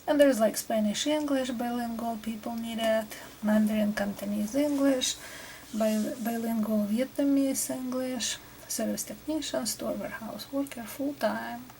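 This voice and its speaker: A soft-spoken woman with a Russian accent talks fairly slowly in a fairly high pitch with fairly even intonation over noticeable background noise. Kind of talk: ASMR tutorial.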